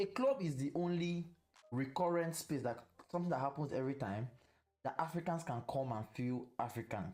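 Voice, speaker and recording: A man speaks with a Nigerian accent at a fairly quick pace. His voice is fairly high and his intonation is lively. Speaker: podcast host. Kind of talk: casual chat. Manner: animated.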